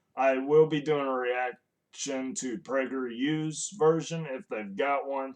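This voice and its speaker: Here a man speaks in a fairly high pitch. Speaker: political reaction youtuber. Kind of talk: casual commentary. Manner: loud.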